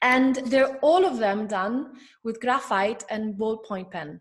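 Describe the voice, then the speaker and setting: A woman with an Italian accent speaks at a fairly slow pace and a fairly high pitch, with ordinary pitch variation. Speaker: curator. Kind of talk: interview.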